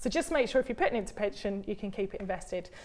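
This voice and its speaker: A woman with a British accent speaks with lively intonation. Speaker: pension expert. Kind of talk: live Q&A advice. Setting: studio.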